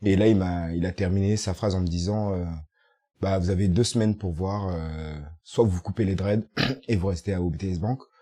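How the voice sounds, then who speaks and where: A man speaks in a very deep, low voice with a dark, mellow tone. His intonation stays fairly even at a moderate pace over a quiet background. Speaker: youth testimony participant. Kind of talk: testimony.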